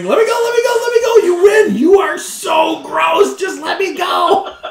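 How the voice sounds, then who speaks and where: A man shouting in a squeaky, extremely high-pitched put-on character voice, at a moderate pace, with slight echo. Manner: screaming, thrashing.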